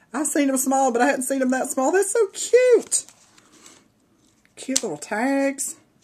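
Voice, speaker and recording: Speaking at a fairly slow pace, a woman with a strong Southern US accent has a high-pitched voice. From US South, Georgia. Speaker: craft video creator. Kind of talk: casual show-and-tell video. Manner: animated.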